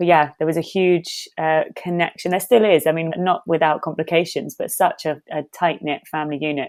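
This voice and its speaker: A woman talks at a moderate pace with hardly any pauses, her pitch fairly low and her intonation fairly even. The recording is very clean, with a silent background. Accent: London. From London, Hackney (England). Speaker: actor and meditation teacher. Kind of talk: podcast interview.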